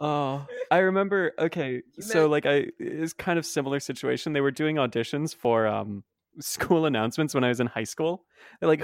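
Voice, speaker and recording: A man talks at a moderate pace with fairly high pitch and a normal speaking voice. The sound is dry and close with no echo, against a quiet background. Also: ordinary pitch variation. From Canada. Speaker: podcast guest.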